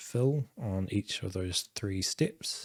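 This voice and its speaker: The speaker talks at a very slow pace in a very clean recording with a silent background. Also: man. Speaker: game developer streamer. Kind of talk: live coding stream. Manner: monotone; casual, thinking aloud.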